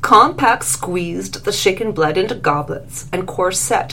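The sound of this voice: The speaker uses an unforced reading voice. Nothing about the delivery is strained.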